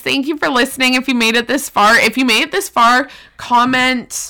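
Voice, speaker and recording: A woman's high-pitched, raised, projected voice against noticeable background noise. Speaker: podcast co-host. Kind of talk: casual chat. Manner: loud.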